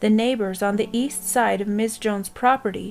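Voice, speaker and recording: A woman's fairly high-pitched, a plain, everyday voice at a moderate pace. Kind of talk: horror story narration in the style of a police report.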